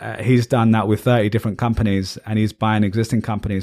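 A man with a British accent talks at a very fast pace and medium pitch, with monotone, flat intonation. The recording is very clean, with a silent background. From England. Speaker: podcast host. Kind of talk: casual chat.

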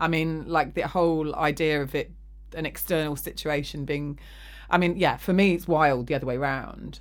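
A woman speaks with an English accent. Her pace is moderate. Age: 40s. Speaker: podcast host. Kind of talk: casual chat. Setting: studio.

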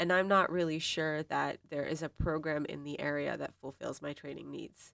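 A moderate pace and ordinary pitch variation over a very clean recording with a silent background. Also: woman. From Pakistan. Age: 20s. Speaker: medical and PhD student researcher. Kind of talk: interview.

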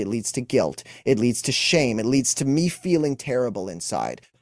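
Recorded very cleanly with a silent background, a man speaks at a moderate pace with a Montreal accent and ordinary pitch variation. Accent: Montreal English (Canadian). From Montreal, Quebec, Canada. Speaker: emotional wellness coach. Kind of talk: interview.

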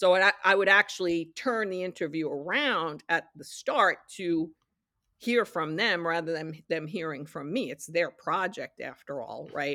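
This woman's voice sits fairly low and has a bright, sharp tone. The recording is very clean, with a silent background. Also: ordinary pitch variation, moderate pace, big swings in loudness. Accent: American. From New York, Yonkers. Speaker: television production executive. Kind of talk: interview.

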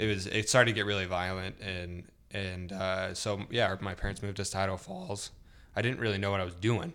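Speaking in a plain, everyday voice with an American accent, a man talks at a fairly quick pace with fairly low pitch and fairly even intonation. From Central California. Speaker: photographer with a corporate job. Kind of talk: casual chat.

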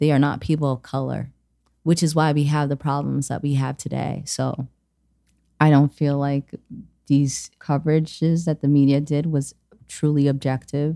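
The voice has a dark, mellow tone, monotone, flat intonation, and a moderate pace. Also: woman, very deep, low pitch for a woman. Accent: American. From US, Nigerian household. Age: 20s. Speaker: community member. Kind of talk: personal testimony.

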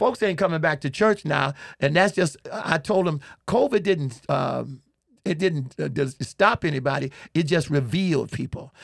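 There is vocal fry in this man's fairly high-pitched voice as he speaks with lively intonation. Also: moderate pace. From Chicago, US. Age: 60s. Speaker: pastor and comedian. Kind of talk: humorous interview, storytelling. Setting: studio. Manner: animated, humorous storyteller.

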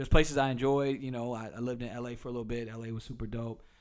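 A man talks at a very fast pace in a medium pitch. Room echo is audible. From US South, Durham, North Carolina. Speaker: city council candidate and hip-hop artist. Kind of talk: casual interview.

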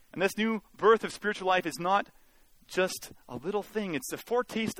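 Speaking at a moderate pace with a Canadian accent, a man uses a high pitch, recorded with a dry, close sound and no echo. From Canada, Mission, British Columbia. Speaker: guest preacher. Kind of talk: sermon. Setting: church.

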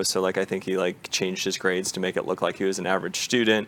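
Very fast, monotone, flat delivery with an American accent. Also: man. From US, Portland Oregon then Kansas and Dallas area. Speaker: business consultant. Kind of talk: interview. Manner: concise.

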